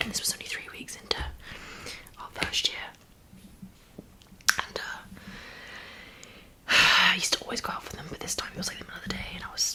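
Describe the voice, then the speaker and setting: Someone whispers very fast in a British accent. Noticeable background noise sits underneath. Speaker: ASMR creator. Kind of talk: ASMR mukbang rambling talk. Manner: soft-spoken, partly whispered.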